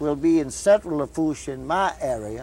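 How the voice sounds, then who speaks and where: This is a man speaking in a south Louisiana accent. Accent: south Louisiana Cajun English. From US South. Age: 70s. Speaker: local elder. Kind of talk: interview.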